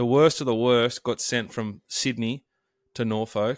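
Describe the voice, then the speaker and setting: Fairly slow, fairly evenly intoned speech with an Australian accent, in a very clean recording with a silent background and a dry, close sound with no echo. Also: man. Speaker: sports and racing podcast host. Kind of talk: casual chat.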